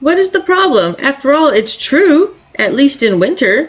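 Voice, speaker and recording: Using a put-on character voice, a woman speaks high and at a moderate pace with very wide pitch swings and very even loudness. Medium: read story.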